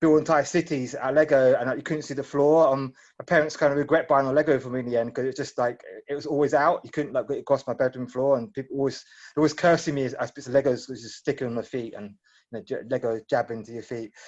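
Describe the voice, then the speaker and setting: A man with a British accent and a fairly high pitch talks at a very fast pace, his loudness swinging widely. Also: fairly even intonation. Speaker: tech startup founder. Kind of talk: Q&A session. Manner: halting.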